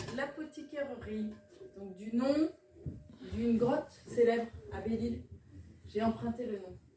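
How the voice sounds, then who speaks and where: Amid noticeable background noise, a woman with a fairly high pitch speaks at a fairly slow pace with long, frequent pauses, ordinary pitch variation and big swings in loudness. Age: 50s. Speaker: herbalist and naturopath shop owner. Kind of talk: interview. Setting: in her shop. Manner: hesitant, many fillers.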